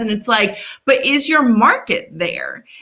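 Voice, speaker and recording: A woman with a high pitch uses a raised, projected voice and an animated tone. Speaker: marketing strategist. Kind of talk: interview.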